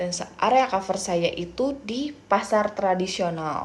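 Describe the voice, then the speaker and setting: Through noticeable background noise, a woman speaks at a very slow pace in a medium pitch. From Indonesia, Pandeglang, Banten. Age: 30s. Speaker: job applicant, sales representative. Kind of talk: self-introduction video. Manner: halting, many fillers.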